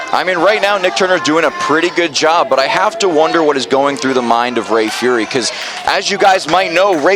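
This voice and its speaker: Over noticeable background noise, a man talks in a raised, projected voice with lively intonation. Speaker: wrestling commentator. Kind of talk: live wrestling commentary.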